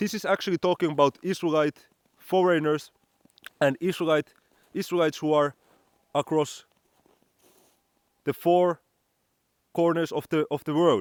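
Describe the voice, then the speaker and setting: A man with a Finnish accent speaks at a moderate pace in a high voice, leaving long, frequent pauses. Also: dry, close sound with no echo. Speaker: religious teacher. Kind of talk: bible teaching monologue. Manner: halting, repeats words.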